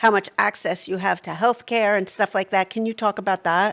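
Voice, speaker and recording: With a plain, everyday voice at a medium pitch, a woman speaks at a moderate pace and with fairly even intonation, the sound dry and close with no echo on a very clean recording with a silent background. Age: 60s. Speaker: podcast co-host. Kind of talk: casual podcast discussion.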